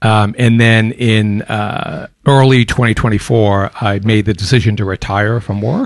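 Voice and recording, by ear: In an American accent, a man talks at a fairly slow pace. His pitch is fairly low and his intonation fairly even.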